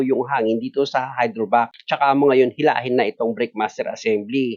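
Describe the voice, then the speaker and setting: Ordinary pitch variation from a man, the sound dry and close with no echo. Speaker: auto mechanic. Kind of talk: tutorial. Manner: loud; animated.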